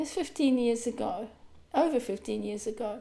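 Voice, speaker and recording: Lively intonation marks a woman's dark, mellow tone in an Australian accent. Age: 60s. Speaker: grief coach. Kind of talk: vlog talk to camera.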